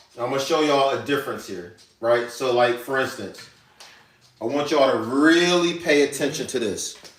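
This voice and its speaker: Over noticeable background noise and audible room echo, a man with an American accent speaks at a moderate pace in a fairly high pitch with ordinary pitch variation. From New York. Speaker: chef. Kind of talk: live cooking demonstration. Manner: casual, conversational.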